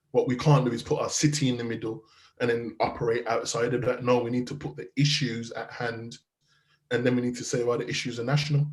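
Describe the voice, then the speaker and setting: A man with a Birmingham accent talks very fast at medium pitch, somewhat breathy, with fairly even intonation. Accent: Brummie. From Birmingham, England. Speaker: youth violence charity founder and criminologist. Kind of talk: interview.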